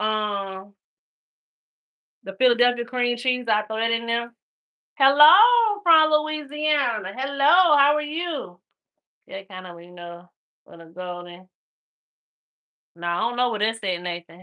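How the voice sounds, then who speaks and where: A woman's fairly high, bright, sharp and animated voice with very wide pitch swings and big swings in loudness, at a fairly slow pace with long, frequent pauses, over a quiet background. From Atlanta, Georgia, US South. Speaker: lifestyle vlogger. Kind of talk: casual livestream chat while cooking. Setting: home kitchen livestream. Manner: animated, casual.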